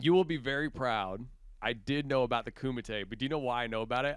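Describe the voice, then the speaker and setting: The speaker has an animated tone with ordinary pitch variation. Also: man. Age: 20s. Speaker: musician in a band. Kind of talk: casual chat.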